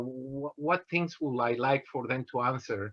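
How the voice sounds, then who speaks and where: A man with a Mexican accent speaks at a fairly slow pace in a bright, sharp tone. His pitch varies in an ordinary way. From Mexico, Guanajuato. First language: Spanish. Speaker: engineer. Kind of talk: motivational talk. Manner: halting, many fillers.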